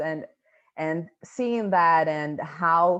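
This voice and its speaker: A woman's very deep, low voice against a quiet background. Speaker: NGO educator. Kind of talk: online panel presentation. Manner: halting, many repetitions.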